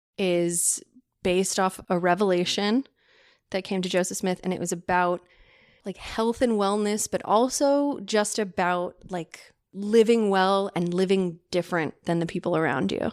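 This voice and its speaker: A woman speaks at a medium pitch and a moderate pace, in a normal speaking voice with ordinary pitch variation. The recording is very clean with a silent background. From California. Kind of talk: casual interview chat.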